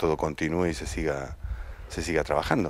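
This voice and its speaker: A man with an Argentine accent talks at a fairly quick pace in a very deep, low pitch. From Argentina. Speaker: actor. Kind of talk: interview. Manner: halting, with repetitions.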